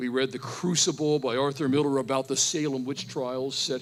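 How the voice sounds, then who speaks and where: On a very clean recording with a silent background, a man speaks at medium pitch with a Pennsylvania accent. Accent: American, Pennsylvania. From Pennsylvania, US. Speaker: professor. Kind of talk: testimony. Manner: animated.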